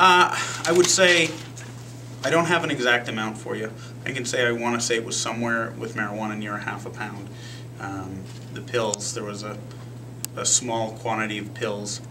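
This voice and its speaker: Over noticeable background noise, a man with an American accent speaks at a medium pitch and moderate pace, with ordinary pitch variation, big swings in loudness, and long, frequent pauses. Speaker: police captain. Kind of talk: press conference answers to reporters.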